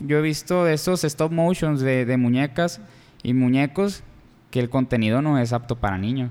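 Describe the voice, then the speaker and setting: Here is a man with a plain, everyday voice and a fairly high pitch. He keeps a moderate pace with ordinary pitch variation. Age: 20s. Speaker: podcast co-host. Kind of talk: casual chat.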